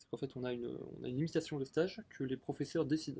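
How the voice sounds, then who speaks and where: Here a man talks at a fairly quick pace in a somewhat breathy, fairly high voice. His intonation is fairly even. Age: 20s. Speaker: shop worker. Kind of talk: interview. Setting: outdoors in a garden. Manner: hesitant, many fillers.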